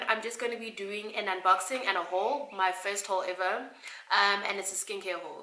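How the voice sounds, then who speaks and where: This woman's voice sits fairly high in pitch, and she talks at a fairly quick pace. Noticeable background noise runs behind her. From South Africa. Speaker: beauty youtuber. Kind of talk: casual vlog.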